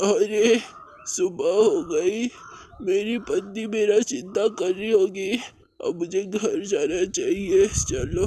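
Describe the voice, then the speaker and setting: In a cartoonish character voice, a man speaks very slowly with a high pitch. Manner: stammering, confused.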